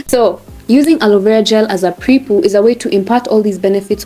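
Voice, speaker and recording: Music plays in the background as a woman speaks at a fairly high pitch. Her pace is moderate and her pitch variation ordinary. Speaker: hair care vlogger. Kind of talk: tutorial. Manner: animated.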